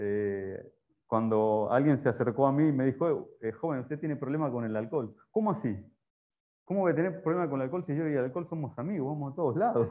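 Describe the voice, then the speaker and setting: A man's fairly high voice moves very fast, his intonation lively. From Argentina. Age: 40s. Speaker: preacher. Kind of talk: sermon. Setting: church.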